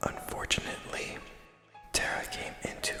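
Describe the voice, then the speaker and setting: Someone whispers at a moderate pace with music in the background. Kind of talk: whispered ASMR reading of a video game story. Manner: whispered.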